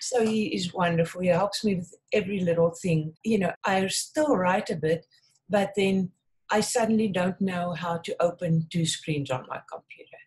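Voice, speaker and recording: A woman's somewhat breathy voice keeps a moderate pace and shows ordinary pitch variation. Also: medium pitch for a woman. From South Africa. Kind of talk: interview.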